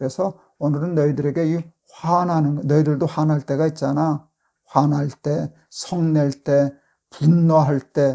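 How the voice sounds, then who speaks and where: Very slowly and in a monotone, flat intonation, a man speaks with a fairly high pitch and a dark, mellow tone. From South Korea, born in Busan to northern refugee parents. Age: 70s. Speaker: pastor. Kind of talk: devotional talk to youth. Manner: casual, grandfatherly banmal with hesitations.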